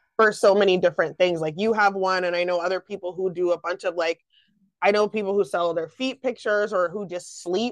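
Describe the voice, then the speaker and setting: A woman speaks at a fairly quick pace in a medium pitch, with an ordinary speaking voice and a dry, close sound with no echo. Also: fairly even intonation. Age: 30s. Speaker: podcast host. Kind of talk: casual interview chat.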